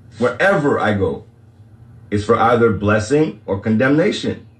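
Noticeable background noise surrounds a man whose intonation is lively. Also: long, frequent pauses. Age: 40s. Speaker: livestream spiritual talk host. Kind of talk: casual livestream monologue.

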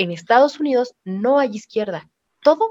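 Fairly slow speech from a woman with a fairly high pitch. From Mexico, Pachuca, Hidalgo. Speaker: podcast co-host. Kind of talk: casual chat.

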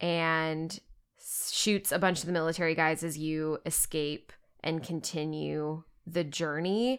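Here is a woman with an American accent, a normal speaking voice, fairly low pitch and fairly even intonation. The recording is very clean, with a silent background. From Texas. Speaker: podcast co-host. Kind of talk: casual chat.

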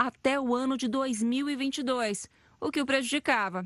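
A woman speaks against a quiet background. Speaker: news reporter. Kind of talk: scripted news report narration.

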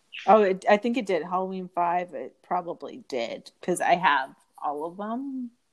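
A woman's voice at medium pitch with lively intonation. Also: moderate pace, big swings in loudness. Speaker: guest, legal assistant. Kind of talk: casual chat. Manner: animated, chatty.

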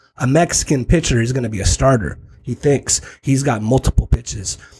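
A man at a moderate pace and medium pitch, somewhat breathy, with ordinary pitch variation. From San Diego South Bay / Tijuana. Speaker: baseball scout. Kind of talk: casual chat.

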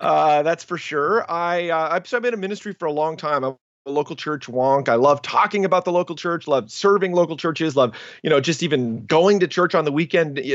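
A man with an unremarkable speaking voice talks at a fairly quick pace. His fairly high pitch shows ordinary variation. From Canada. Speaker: ministry leader and author. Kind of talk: interview.

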